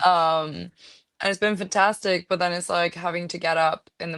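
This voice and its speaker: Monotone, flat intonation at a moderate pace. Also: woman. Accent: non-native. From Norway. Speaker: actress. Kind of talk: interview. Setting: podcast.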